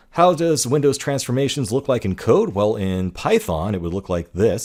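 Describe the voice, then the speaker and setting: A man speaks with very wide pitch swings. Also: very clean recording, silent background. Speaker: course instructor. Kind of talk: lecture. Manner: fast.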